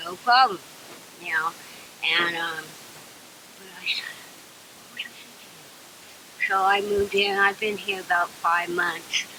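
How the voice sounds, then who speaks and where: A woman's fairly slow speech at a medium pitch, with fairly even intonation, long, frequent pauses, big swings in loudness and noticeable background noise. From California. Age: 60s. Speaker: homeless woman. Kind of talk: interview testimony.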